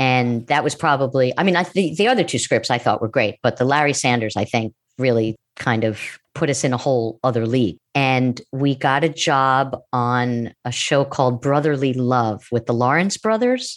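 In a New York accent, a woman speaks at a moderate pace with a very deep, low pitch, ordinary pitch variation and hardly any pauses. Her loudness stays very even, and the recording is very clean with a silent background. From US Northeast, Long Island, New York. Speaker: TV writer, producer and former stand-up comedian. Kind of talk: casual interview chat.

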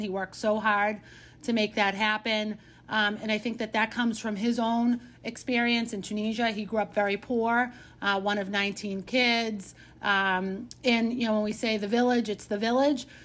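A woman's fairly high-pitched voice in a Boston accent, moderate in pace, with monotone, flat intonation, on a very clean recording with a silent background. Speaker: city councilor and mayoral candidate. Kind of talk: interview.

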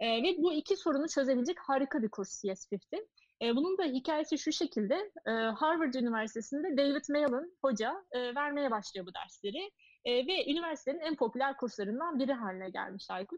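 Set high in pitch, a woman's voice moves at a moderate pace with lively intonation, recorded dry and close with no echo. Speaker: social enterprise co-founder. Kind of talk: casual interview.

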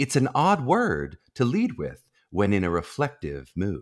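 On a very clean recording with a silent background, a man speaks at a fairly slow pace with very wide pitch swings and vocal fry. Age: 30s. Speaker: podcast host, college audition coach. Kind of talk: interview; quiz game hosting.

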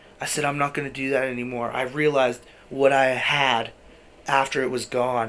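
Over noticeable background noise, the speaker keeps a monotone, flat intonation at a moderate pace. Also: man, medium pitch for a man. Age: 20s. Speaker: youth charity worker and former client. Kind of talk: casual chat.

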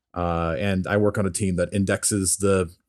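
A man speaks with a very deep, low pitch and ordinary pitch variation. The recording is very clean, with a silent background. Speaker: software developer. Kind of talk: casual chat.

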